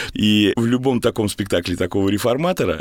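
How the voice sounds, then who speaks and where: The intonation here is lively. A man delivers it at a fairly quick pace. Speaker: theatre actor and director. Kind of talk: interview. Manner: trained stage speech.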